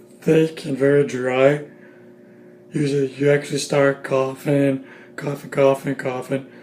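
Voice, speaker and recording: A man's fairly high voice at a fairly slow pace, monotone and flat, over noticeable background noise. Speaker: YouTuber reviewing TV shows. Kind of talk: casual vlog review. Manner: halting with many fillers and restarts; pacing around while talking.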